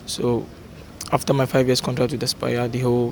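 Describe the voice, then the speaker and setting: A man's mid-range voice, with clear background noise throughout. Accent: Nigerian. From Nigeria. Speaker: footballer.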